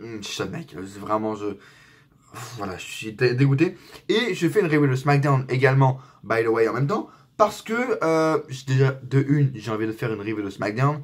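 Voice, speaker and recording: Speaking at a moderate pace, a man with a medium pitch sounds somewhat breathy, his intonation lively and his loudness swinging widely. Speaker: wrestling YouTuber. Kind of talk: casual review vlog. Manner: animated; hesitant with fillers.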